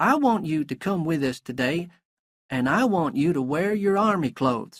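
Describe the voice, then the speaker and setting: A man puts on a character voice that sits high in pitch and swings very widely, at a moderate pace, on a very clean recording with a silent background. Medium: read story.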